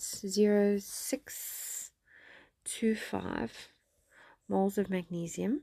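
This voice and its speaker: Soft-spoken, a woman of medium pitch speaks at a very slow pace in a dark, mellow tone with ordinary pitch variation, recorded very cleanly over a silent background. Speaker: science teacher. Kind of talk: tutorial.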